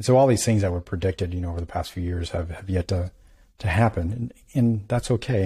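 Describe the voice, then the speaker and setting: On a very clean recording with a silent background, a man speaks at a fairly quick pace in a dark, mellow, somewhat breathy voice, fairly low in pitch with ordinary pitch variation. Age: 40s. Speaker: physician and podcast host. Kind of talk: interview.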